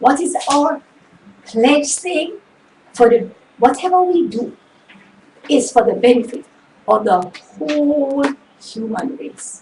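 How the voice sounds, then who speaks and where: A high-pitched woman with lively intonation at a very slow pace, long, frequent pauses and noticeable background noise. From Jamaica. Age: 60s. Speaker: motivational show host. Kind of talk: motivational talk. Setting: home studio.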